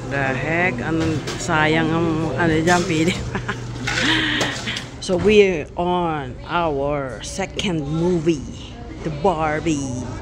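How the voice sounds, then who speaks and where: A woman talks very slowly, leaving long pauses often, while background noise is clearly audible. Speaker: vlogger. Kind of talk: casual vlog chat. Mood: cheerful, a bit sleepy. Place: hall. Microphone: phone near.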